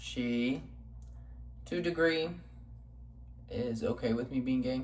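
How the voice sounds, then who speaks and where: Audible room echo surrounds a man with an American accent who talks at a moderate pace. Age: 20s. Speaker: vlogger. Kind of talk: casual vlog monologue. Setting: home kitchen. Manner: casual, many fillers (um, like).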